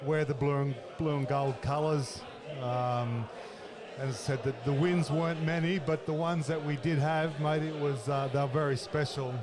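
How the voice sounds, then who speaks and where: A man speaks with an Australian accent, with audible room echo and noticeable background noise. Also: fairly high pitch for a man, fairly even intonation, moderate pace. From Australia, Casino, northern New South Wales. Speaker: former rugby league player. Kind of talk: casual interview. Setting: reunion luncheon at a bar and grill. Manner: halting, many fillers.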